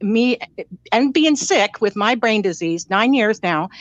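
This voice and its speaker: A woman speaks in an ordinary speaking voice, pitched fairly high, with lively intonation. She talks at a fairly slow pace, and the sound is dry and close with no echo. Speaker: caller sharing personal story. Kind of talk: casual chat.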